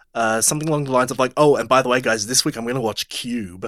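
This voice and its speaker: The sound is dry and close, with no echo. A man is speaking. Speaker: podcast host, movie discussion. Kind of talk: casual chat, banter.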